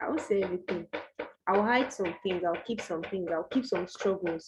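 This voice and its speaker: A woman's voice sounds dark, mellow and somewhat breathy, with ordinary pitch variation. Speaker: online course host. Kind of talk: online tutorial talk. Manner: casual, direct.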